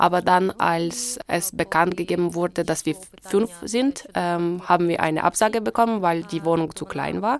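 Speaking at a moderate pace with a Ukrainian accent, a woman uses a fairly low pitch and ordinary pitch variation. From Ukraine. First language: Ukrainian (speaking German). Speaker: interpreter. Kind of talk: interpreting.

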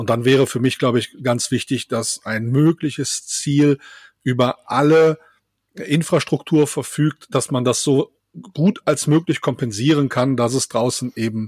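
A man talks at a fairly slow pace in an unremarkable speaking voice, medium in pitch with ordinary pitch variation. The sound is dry and close, with no echo. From Rhineland, Germany. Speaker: camping blogger. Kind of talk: casual chat.

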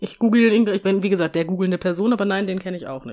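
A dark, mellow tone at a fairly quick pace. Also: woman. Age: 30s. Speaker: podcast co-host. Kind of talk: casual chat.

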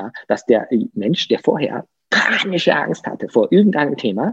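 Recorded with a dry, close sound and no echo, a man talks with very wide pitch swings. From southern Germany, Lake Constance. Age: 50s. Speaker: coach. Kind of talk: interview.

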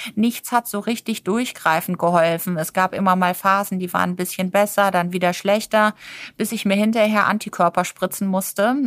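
Someone speaks in a normal speaking voice at a moderate pace with fairly even intonation. The sound is dry and close, with no echo, on a very clean recording with a silent background. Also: woman, medium pitch for a woman. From Germany, partly raised on a farm. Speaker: nutrition and sports physician. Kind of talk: interview.

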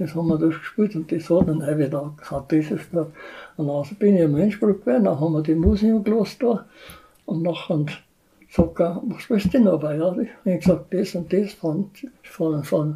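In a high pitch with ordinary variation, a man speaks with a dark, mellow tone. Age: 80s+. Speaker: retired village band musician. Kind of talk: casual interview.

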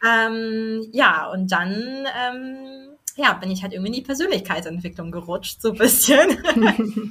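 A woman with a fairly high pitch talks at a very slow pace. Her intonation is lively, and there is noticeable background noise. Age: 20s. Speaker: podcast guest, life coach trainee. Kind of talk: casual interview conversation. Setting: sitting together in person.

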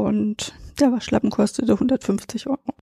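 A woman speaks in a high voice. The sound is dry and close, with no echo. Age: 50s. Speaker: insurance expert, head of liability department. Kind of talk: interview.

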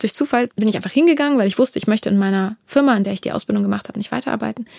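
A woman speaks with ordinary pitch variation. The recording is very clean, dry and close, with no echo and a silent background. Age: 30s. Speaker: music producer manager. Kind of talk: interview. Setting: office. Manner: hesitant fillers.

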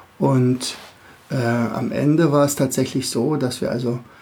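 The speaker is a man with a medium pitch. There is a somewhat breathy quality to his voice. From Berlin area, Germany. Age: 50s. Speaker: teacher and podcast host. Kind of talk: podcast monologue for kids. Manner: hesitant, many filler sounds.

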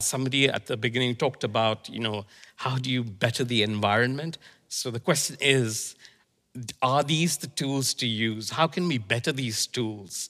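This man's voice sits at a medium pitch and has a bright, sharp tone. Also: ordinary pitch variation, moderate pace. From India. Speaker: qualifications program manager. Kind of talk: panel discussion.

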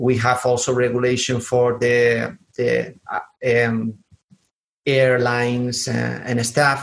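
With a southern Spanish accent, a man at medium pitch speaks at a very slow pace. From southern Spain. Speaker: podcast host. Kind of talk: interview. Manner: halting.

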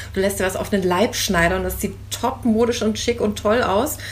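Very fast speech from a woman, amid noticeable background noise and audible room echo. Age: 50s. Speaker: bride interviewed about her second wedding dress. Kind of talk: casual interview.

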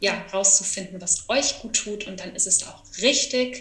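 A woman's medium-pitched voice, very slow, with fairly even intonation and noticeable background noise. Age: 40s. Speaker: author and burnout consultant. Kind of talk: interview conversation.

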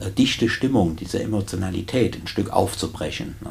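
A man's voice over noticeable background noise. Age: 50s. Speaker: prison chaplain and deacon. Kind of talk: casual interview.

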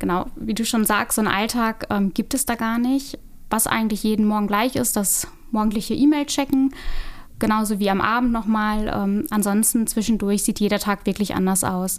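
Speaking at a moderate pace in an ordinary speaking voice, a woman holds very even loudness, with fairly high pitch and fairly even intonation. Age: 30s. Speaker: real estate agent. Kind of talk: interview.

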